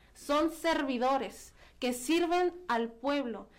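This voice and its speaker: This woman has a high voice. Her pitch varies in an ordinary way. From Baja California, Mexico. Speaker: youth parliament member, activist. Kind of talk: radio interview. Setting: radio studio.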